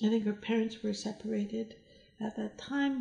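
This woman's voice has a dark, mellow tone and is somewhat breathy. She talks at a moderate pace with a fairly high pitch and an American accent. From mixed: Iran, US, Germany, France. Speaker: interior designer. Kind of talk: casual interview. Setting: at her home. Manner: halting, with repeated words.

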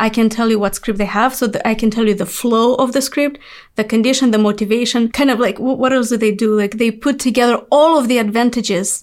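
With a non-native accent, a woman talks at a fairly quick pace. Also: fairly high pitch for a woman, hardly any pauses. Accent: foreign-accented English. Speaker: podcast host. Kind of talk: interview. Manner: enthusiastic.

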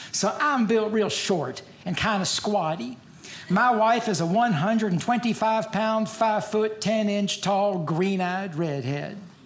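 A man speaks at a very slow pace in a high voice with ordinary pitch variation. Room echo is audible, and background noise is noticeable. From Louisville, Kentucky. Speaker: stand-up comedian. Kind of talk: stand-up. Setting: stage with audience.

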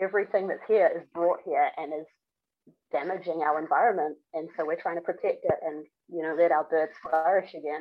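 A woman with a New Zealand accent, fairly low in pitch, fairly quick, with fairly even intonation. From New Zealand, Auckland. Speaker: long-distance hiker and gear maker. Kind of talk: casual interview. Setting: remote call.

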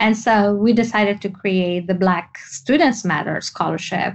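A woman speaks with a Tunisian accent and ordinary pitch variation. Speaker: entrepreneur and activist. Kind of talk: interview.

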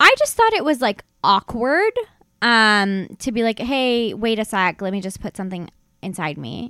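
Speaking at a moderate pace with ordinary pitch variation, a woman has a fairly high pitch and a bright, sharp tone, captured in a very clean recording with a silent background and a dry, close sound with no echo. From immigrant background. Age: 20s. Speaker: comedian. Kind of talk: casual chat.

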